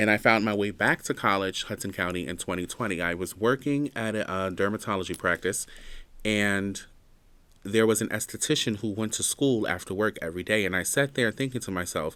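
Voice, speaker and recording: Over a silent background on a very clean recording, an unremarkable speaking voice belonging to a man comes at a moderate pace, fairly low in pitch and with ordinary pitch variation. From New Jersey, Jersey City. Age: 30s. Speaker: podcast host, college student. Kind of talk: casual personal monologue. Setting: campus building studio.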